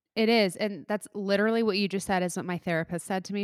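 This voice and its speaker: Recorded very cleanly with a silent background and a dry, close sound with no echo, a woman speaks at a medium pitch. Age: 20s. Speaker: podcast host. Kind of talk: casual chat. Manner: animated.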